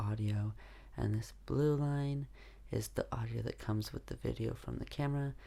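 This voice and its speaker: A soft-spoken man. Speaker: YouTuber. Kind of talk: tutorial. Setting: at home.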